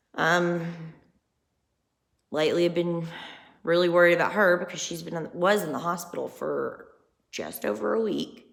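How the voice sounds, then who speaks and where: Pausing long and often, a woman with a fairly low pitch speaks at a moderate pace with ordinary pitch variation amid audible room echo. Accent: Southern US. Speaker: vlogger. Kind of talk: personal vlog monologue. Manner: casual, rambling conversational.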